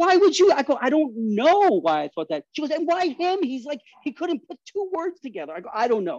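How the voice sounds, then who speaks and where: Animated in tone, a man talks at a fairly quick pace with a New York accent. The sound is dry and close, with no echo. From New York City, Astoria, Queens. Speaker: guest storyteller. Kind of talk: casual interview storytelling. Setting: outdoor patio.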